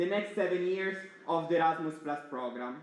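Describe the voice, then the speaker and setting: A loud man's voice with audible room echo. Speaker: student network board member. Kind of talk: opening speech. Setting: stage with audience.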